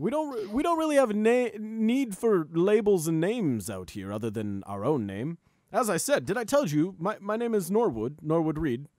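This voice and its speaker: This man puts on a gruff character voice, high-pitched with very wide pitch swings. He keeps a moderate pace with hardly any pauses, and the recording is very clean with a silent background. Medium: actual play. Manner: hesitant, rambling.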